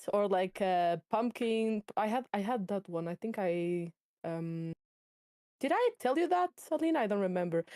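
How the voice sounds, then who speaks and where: A woman with a dark, mellow tone and medium pitch talks at a moderate pace with lively intonation, in a dry, close recording with no echo. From Portugal. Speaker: book club co-host. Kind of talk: casual chat. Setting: live stream.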